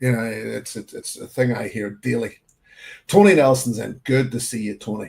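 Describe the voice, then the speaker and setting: In a medium pitch with vocal fry, a man speaks with fairly even intonation and big swings in loudness. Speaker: whisky livestream host. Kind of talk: casual livestream chat. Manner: halting, many fillers and repeats.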